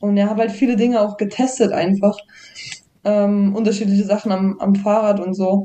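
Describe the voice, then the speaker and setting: This woman has a plain, everyday voice at medium pitch, with fairly even intonation and a moderate pace. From Thuringia, Germany. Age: 20s. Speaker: downhill mountain bike racer. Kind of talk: casual podcast interview.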